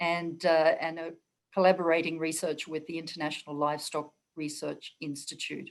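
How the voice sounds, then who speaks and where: A woman with an Australian accent at a moderate pace. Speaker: webinar moderator. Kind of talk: webinar moderation. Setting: video call.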